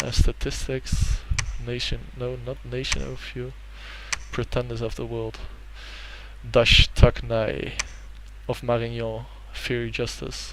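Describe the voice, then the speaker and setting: Fairly slow speech in a Dutch accent, with long, frequent pauses and big swings in loudness. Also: man. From Netherlands. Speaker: gaming YouTuber. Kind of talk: let's play commentary. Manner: hesitant, many fillers.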